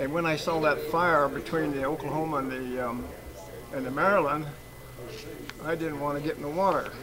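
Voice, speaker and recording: Over noticeable background noise, a man speaks at a fairly high pitch and a moderate pace with fairly even intonation. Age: 90s. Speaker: war veteran. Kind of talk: testimony. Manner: halting.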